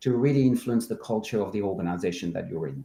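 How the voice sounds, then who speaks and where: Dark and mellow in tone, a man's voice carries lively intonation. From France. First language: French. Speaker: culture consultant. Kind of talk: interview.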